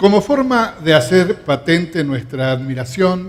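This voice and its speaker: This is a man talking. There is a somewhat breathy quality to his voice. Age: 70s. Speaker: festival emcee. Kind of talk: stage hosting. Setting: theatre stage with audience. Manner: formal.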